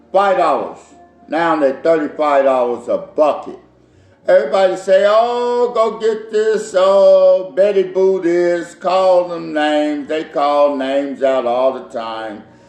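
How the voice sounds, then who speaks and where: With a high pitch and lively intonation, a man speaks at a very slow pace. His voice carries audible room echo. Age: 60s. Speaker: home cook and caterer. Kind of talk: cooking tutorial. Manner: casual, repetitive.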